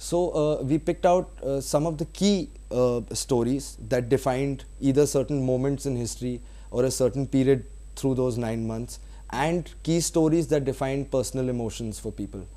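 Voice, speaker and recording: A man with a Bengali accent at a moderate pace, against a quiet background. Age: young. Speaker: film director. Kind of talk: interview. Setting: studio. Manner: hesitant, many fillers.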